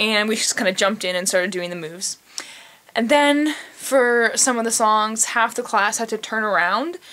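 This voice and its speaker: The speaker is a woman with a fairly high pitch. There is noticeable background noise. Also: ordinary pitch variation, moderate pace. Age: 20s. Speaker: vlogger. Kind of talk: casual chat. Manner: animated; says like a lot.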